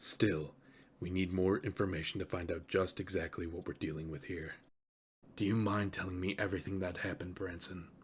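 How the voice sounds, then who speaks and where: A man puts on a character voice that is raspy and very deep and low in pitch. He talks at a fairly quick pace. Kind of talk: audio drama fan dub. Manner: theatrical, composed.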